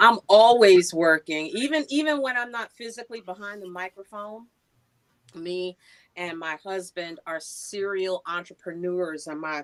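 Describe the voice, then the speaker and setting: Dry and close with no echo, a woman with a plain, everyday voice and an American accent speaks at a fairly slow pace and medium pitch, with lively intonation and big swings in loudness. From New York (Queens). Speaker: voiceover artist and radio personality. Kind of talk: interview.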